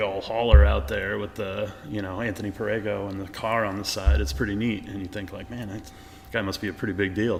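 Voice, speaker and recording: A man speaks at a moderate pace. Room echo can be heard. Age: 30s. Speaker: podcast host. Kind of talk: casual interview. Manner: animated.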